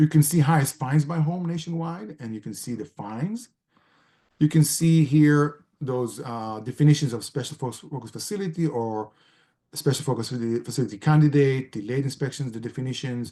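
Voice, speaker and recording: Loudness swings widely as a man talks at a fairly quick pace, using a fairly high pitch, a dark, mellow tone and ordinary pitch variation. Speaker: gerontologist and elder care researcher. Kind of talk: presentation with screen-share walkthrough.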